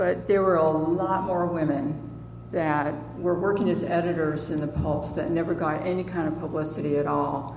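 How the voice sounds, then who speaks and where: A woman's fairly low voice at a moderate pace with ordinary pitch variation, plus audible room echo and noticeable background noise. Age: 60s. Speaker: author and conference speaker. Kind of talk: conference presentation. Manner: halting, many fillers.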